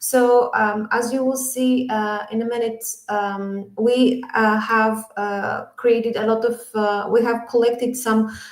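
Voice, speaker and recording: There is audible room echo around this woman's voice. Her pitch is fairly high and her intonation fairly even. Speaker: education project speaker from an NGO. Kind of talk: conference presentation. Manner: hesitant, many fillers.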